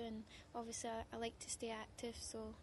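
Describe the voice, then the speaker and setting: Soft-spoken and in a Scottish accent, the speaker talks at a moderate pace over noticeable background noise. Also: woman. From Scotland. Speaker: mixed martial arts fighter. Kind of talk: press interview.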